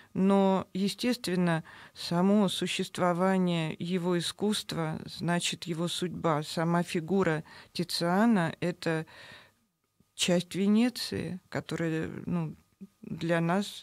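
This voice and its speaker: Against a quiet background, a woman with a fairly low voice talks very slowly with fairly even intonation in a dry sound with no echo. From Moscow, Russia; Russia. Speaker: novelist; guest. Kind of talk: radio interview. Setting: radio studio. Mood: calm, engaged storytelling. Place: studio. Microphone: studio mic.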